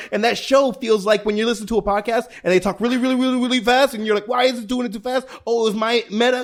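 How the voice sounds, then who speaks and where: Delivered at a very fast pace with hardly any pauses, this animated voice has an American accent. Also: man, extremely high pitch for a man. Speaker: podcast host. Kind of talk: casual chat.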